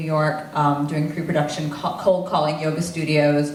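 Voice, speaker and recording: Amid audible room echo and noticeable background noise, a woman with an American accent speaks at a moderate pace and a fairly low pitch. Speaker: film crew member, guru's assistant. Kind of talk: Q&A panel talk.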